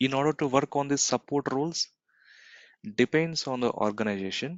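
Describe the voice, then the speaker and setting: A man with an unremarkable speaking voice talks at a moderate pace. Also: fairly high pitch for a man, ordinary pitch variation. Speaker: cloud computing trainer. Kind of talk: live online class lecture. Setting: recorded video conference.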